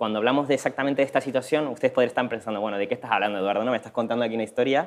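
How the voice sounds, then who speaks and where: A man is speaking. His pitch moves with ordinary variation. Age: young. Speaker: social entrepreneur; presenter. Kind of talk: conference presentation. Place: hall. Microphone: lapel.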